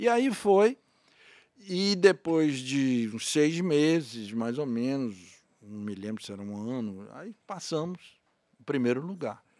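A man speaks at a very slow pace and a fairly high pitch, with very wide pitch swings and big swings in loudness. The recording is very clean, with a silent background. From Bahia, Brazil (Feira de Santana). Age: 50s. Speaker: radio and TV presenter. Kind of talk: interview.

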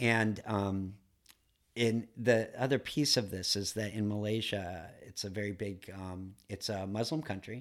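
Fairly low in pitch, a man with an American accent speaks with fairly even intonation on a very clean recording with a silent background. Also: fairly slow pace. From US Midwest, Duluth, Minnesota. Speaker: entrepreneur and painter. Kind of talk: casual interview. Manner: halting, many fillers.

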